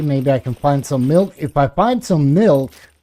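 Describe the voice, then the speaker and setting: Fairly slow speech in a non-native accent. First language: not English. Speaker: gaming streamer. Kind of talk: live gameplay commentary. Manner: casual, chatty.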